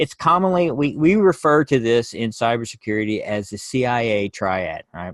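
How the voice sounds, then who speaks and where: Medium in pitch, a man speaks at a moderate pace with hardly any pauses. His pitch swings very widely, and the sound is dry and close with no echo. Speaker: cybersecurity professional giving a talk. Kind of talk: presentation.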